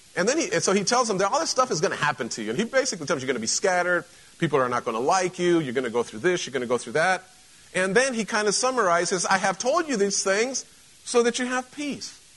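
A man with a high-pitched, animated voice talks at a very fast pace, his pitch swinging very widely. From Mexico. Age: 50s. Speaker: pastor. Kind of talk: casual, conversational Sunday sermon to a live congregation, joking asides. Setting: church service with live congregation. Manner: animated rhetorical questions and punchy repetition.

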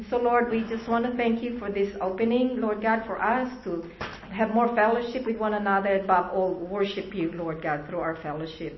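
At a fairly quick pace, a woman talks at a medium pitch with ordinary pitch variation. Noticeable background noise is heard behind her. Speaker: congregation member giving announcements. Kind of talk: announcements and prayer. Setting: congregation worship service.

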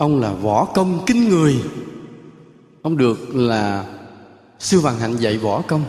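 With audible room echo, a man at medium pitch speaks at a very slow pace with lively intonation and long, frequent pauses. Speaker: Buddhist monk giving a dharma talk. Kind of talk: sermon. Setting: temple ceremony with audience.

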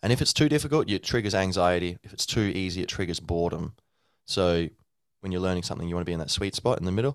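A man with an Australian accent talks very fast in a very deep, low voice with ordinary pitch variation. The recording is very clean, with a silent background. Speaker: English teacher and podcast host. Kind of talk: casual solo talk. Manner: halting, many fillers.

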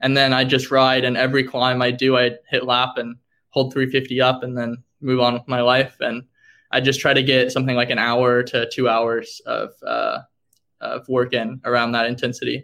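In a monotone, flat delivery, a man with an American accent speaks at medium pitch and a moderate pace. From Dallas, Texas. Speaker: competitive cyclist and former college rower. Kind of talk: casual interview.

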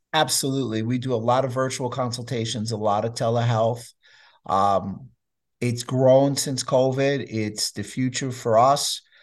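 Against a quiet background, a man speaks slowly-ish in a medium pitch with monotone, flat intonation. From US Northeast, New York City. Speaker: chiropractor and nutrition author. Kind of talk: interview.

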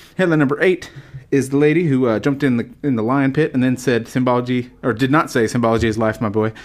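A man's medium-pitched voice at a very fast pace, with ordinary pitch variation. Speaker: podcast host. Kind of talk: comedic bonus round quiz. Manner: doing a radio voice.

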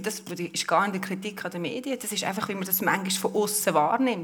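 The speech shows ordinary pitch variation, with noticeable background noise in the recording. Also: woman. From Switzerland, Lucerne. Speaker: politician and business owner. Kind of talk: public panel discussion. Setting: live event at an exhibition venue.

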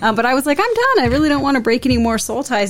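A woman speaks over noticeable background noise. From New Mexico. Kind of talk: casual chat.

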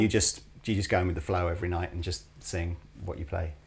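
A man with an English accent speaks in a very clean recording with a silent background. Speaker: podcast host at a music shop channel. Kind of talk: casual interview. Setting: studio.

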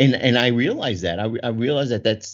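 A man talks at a very fast pace and medium pitch. Vocal fry runs through his speech. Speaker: podcast co-host and trainer. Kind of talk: casual chat. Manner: loud, emotional; excitable.

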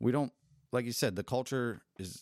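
In a very clean recording with a silent background and a dry, close sound with no echo, a man talks at a moderate pace in a normal speaking voice with ordinary pitch variation. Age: 40s. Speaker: podcast host. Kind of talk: casual chat.

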